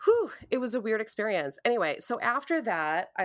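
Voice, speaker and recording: In a very clean recording with a silent background, a woman with an Upper Midwest accent speaks with very wide pitch swings. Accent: Upper Midwest American. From Wisconsin. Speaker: podcast co-host. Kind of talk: casual chat.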